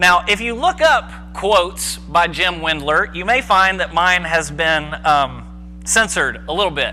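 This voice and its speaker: A man at a fairly slow pace with hardly any pauses, music in the background. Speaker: preacher giving a sermon. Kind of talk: church sermon, casual teaching. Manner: conversational, informal, humorous asides.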